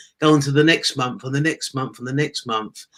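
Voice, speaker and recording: With an English accent, a man talks at a fairly high pitch and with fairly even intonation. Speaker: former taxi driver, online entrepreneur. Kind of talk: interview testimony.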